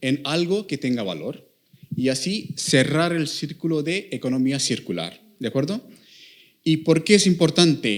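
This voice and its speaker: Here a man talks at a fairly slow pace. His intonation is lively. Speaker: applied mathematician, industry researcher. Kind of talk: talk to students. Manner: halting, many fillers.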